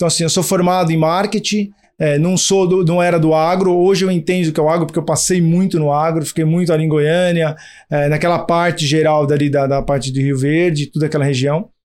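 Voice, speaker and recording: Over a very clean recording and silent background, a man speaks at a fairly quick pace. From Brazil, São Paulo. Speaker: startup co-founder. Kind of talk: interview.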